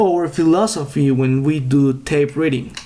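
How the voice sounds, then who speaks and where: A man with a Spanish accent at a very slow pace, ordinary pitch variation, and noticeable background noise. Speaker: day trader and trading educator. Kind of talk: tutorial. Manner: halting.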